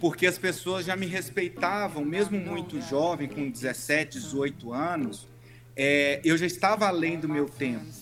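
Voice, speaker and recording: A man with a plain, everyday voice, a fairly slow pace and ordinary pitch variation. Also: fairly high pitch for a man. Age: 30s. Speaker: pharmaceutical sales professional. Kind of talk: interview.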